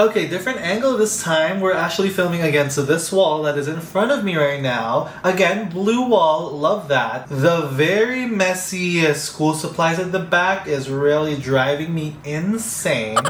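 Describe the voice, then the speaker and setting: A man's high-pitched voice with lively intonation, a fairly slow pace and hardly any pauses, with audible room echo and noticeable background noise. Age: 20s. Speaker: YouTuber. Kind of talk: reaction commentary.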